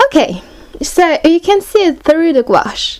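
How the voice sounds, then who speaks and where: A woman with a French accent speaks at a fairly slow pace, her intonation lively. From France. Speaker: art hobbyist YouTuber. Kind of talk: product review tutorial.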